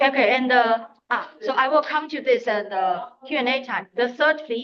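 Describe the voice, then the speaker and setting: The pitch varies in an ordinary way while the words come at a moderate pace. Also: woman, high pitch for a woman. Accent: Chinese. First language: Chinese. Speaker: conference presenter. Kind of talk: academic Q&A. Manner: halting.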